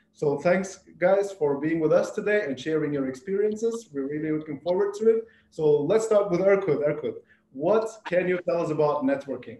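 Dark and mellow in tone, the voice moves at a moderate pace with ordinary pitch variation and audible room echo. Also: man, high pitch for a man. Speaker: webinar moderator. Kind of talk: scripted introduction. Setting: video call. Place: home room. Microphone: video call.

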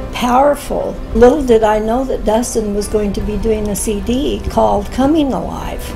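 Over clear background music, a woman talks at a moderate pace with ordinary pitch variation. She hardly pauses at all. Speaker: interviewee. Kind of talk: interview answer. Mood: earnest, reflective testimony. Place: home room.

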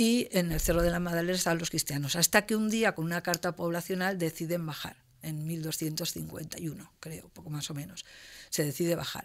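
A woman has a fairly low voice and an unremarkable speaking voice. She talks at a moderate pace against a quiet background. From Spain, Castellón (Valencian Community); Valencian Community, Spain. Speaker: university professor. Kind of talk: interview. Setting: university studio. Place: studio. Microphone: studio mic.

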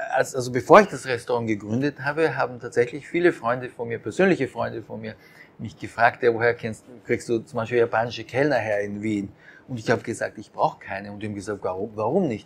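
Speaking at a fairly quick pace, a man shows ordinary pitch variation and big swings in loudness. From Austria (Japanese-born, raised in Austria). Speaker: conductor and restaurant owner. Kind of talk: interview. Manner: hesitant, many fillers. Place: cafe. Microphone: lapel.

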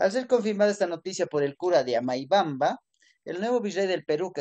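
This man talks at a fairly quick pace, his intonation lively. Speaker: history teacher. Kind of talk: lecture. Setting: classroom. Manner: halting.

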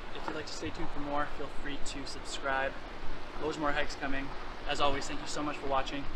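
Someone talks at a very fast pace against loud background noise. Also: man. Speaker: hiking vlogger. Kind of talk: casual vlog outro. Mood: friendly, thankful. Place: street. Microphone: phone near.

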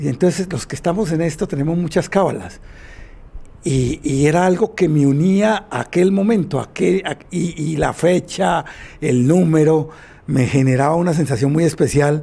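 Moderate-paced speech from a man, fairly high in pitch and with ordinary pitch variation. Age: 50s. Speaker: former futsal player; former champion coach. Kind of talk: interview testimony. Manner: halting. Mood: nostalgic, emotional recollection. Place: home room. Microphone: handheld.

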